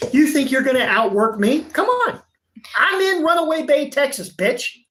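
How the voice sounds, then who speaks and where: In a Southern US accent, a man with an extremely high pitch talks at a moderate pace, animated and with very wide pitch swings, his loudness very even. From Virginia, US. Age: 50s. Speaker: auto painter, shop owner. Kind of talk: livestream chat. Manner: animated, loud.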